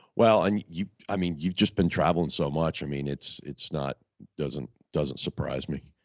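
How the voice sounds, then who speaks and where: A man speaks with a very deep, low pitch, vocal fry and ordinary pitch variation. His moderate pace comes through a dry, close sound with no echo. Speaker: podcast host. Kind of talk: casual chat.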